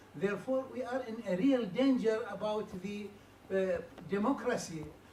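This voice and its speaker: A high-pitched man with an Arabic accent at a moderate pace, with ordinary pitch variation, audible room echo and noticeable background noise. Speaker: audience member asking question. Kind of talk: audience comment. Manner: halting, many fillers.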